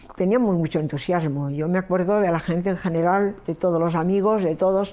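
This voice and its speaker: A woman speaks in a fairly low pitch with a dark, mellow tone. Her intonation is fairly even. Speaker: witness of the Spanish Transition. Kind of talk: testimony.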